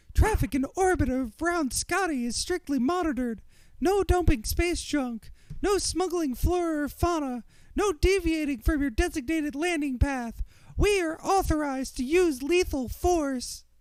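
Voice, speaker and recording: A man's put-on character voice at an extremely high pitch and a moderate pace. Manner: harsh, authoritarian.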